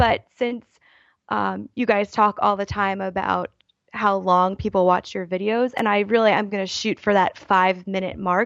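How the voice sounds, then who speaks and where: A woman talks in a normal speaking voice at medium pitch. Her pace is moderate and her intonation fairly even. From Baltimore, US. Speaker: YouTuber and writer. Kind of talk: casual interview.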